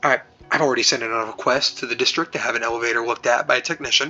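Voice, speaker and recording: A man puts on a raspy character voice at a medium pitch. He talks at a very fast pace with fairly even intonation. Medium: solo performance. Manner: nervous, stammering.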